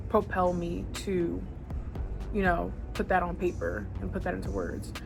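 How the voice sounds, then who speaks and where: A woman talks at a moderate speed. Music can be heard behind her. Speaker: beauty and fashion vlogger. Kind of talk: casual talk to camera. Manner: chatty, casual.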